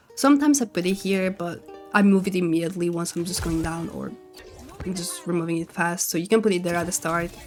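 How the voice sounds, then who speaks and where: A woman speaks in a relaxed tone. Music plays in the background. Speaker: gaming guide creator. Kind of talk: casual gameplay tutorial commentary. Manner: casual, relaxed.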